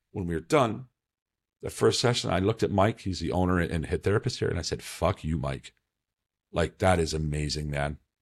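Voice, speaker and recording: A man's very deep, low-pitched voice with vocal fry, at a fairly quick pace. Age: 40s. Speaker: podcast host in addiction recovery. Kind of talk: casual interview chat. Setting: video call.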